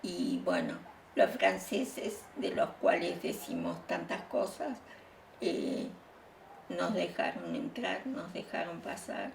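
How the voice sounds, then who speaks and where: A woman speaks very slowly amid noticeable background noise and audible room echo. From Bolivia and Uruguay, Spanish-born exile. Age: 70s. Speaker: exile interviewee. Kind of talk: interview testimony. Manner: halting, frequent fillers.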